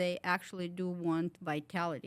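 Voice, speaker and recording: A woman's fairly low voice at a moderate pace, with a Ukrainian accent. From Ukraine. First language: Ukrainian or Russian. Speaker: wellness clinic owner. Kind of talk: interview. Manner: halting, many fillers.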